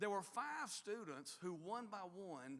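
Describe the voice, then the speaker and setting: This man's pitch is high, with a bright, sharp tone. His pitch swings very widely. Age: 60s. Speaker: university leader. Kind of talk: speech to staff.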